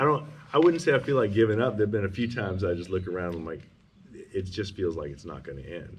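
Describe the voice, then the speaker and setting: A man speaks very fast at a fairly low pitch, his voice somewhat breathy and swinging very widely in pitch. His loudness rises and falls sharply, and the room echo is audible. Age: 50s. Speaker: homesteader building a house. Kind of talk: casual chat.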